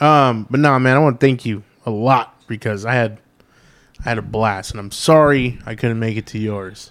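An ordinary speaking voice with fairly even intonation and big swings in loudness comes through on a very clean recording with a silent background. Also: man, medium pitch for a man, moderate pace. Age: 30s. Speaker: podcast co-host. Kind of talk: casual chat.

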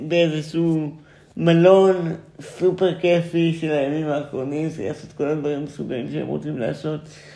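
Over audible room echo, a man speaks with a fairly high pitch, a dark, mellow tone and fairly even intonation. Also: moderate pace. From Israel, central (Ness Ziona). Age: 20s. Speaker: theatre student and performance artist. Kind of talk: casual chat.

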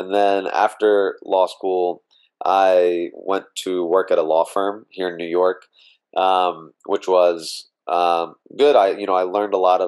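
A man's very deep, low voice in a flat monotone, with an American accent. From US South, Mississippi (Meridian). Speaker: lawyer and voting rights advocate. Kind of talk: interview conversation.

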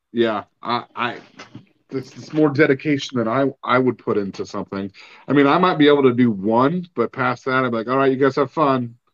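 A man's medium pitch moves with ordinary variation as he speaks at a moderate pace. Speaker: podcast host. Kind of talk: casual interview.

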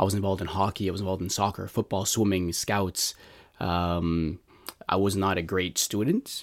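A man with a Montreal accent, very deep, low pitch, monotone, flat intonation and moderate pace. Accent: Canadian English (Montreal). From Montreal, Canada. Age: 40s. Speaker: lay evangelist. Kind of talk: personal testimony interview. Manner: halting, many fillers and restarts.

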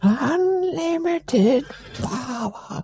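Someone performs a put-on character voice pitched high. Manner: menacing, theatrical.

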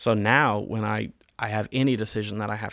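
A man with an American accent and vocal fry at a fairly quick pace. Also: very clean recording, silent background. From North Carolina (Winston-Salem), US South. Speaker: church member. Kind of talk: interview testimony.

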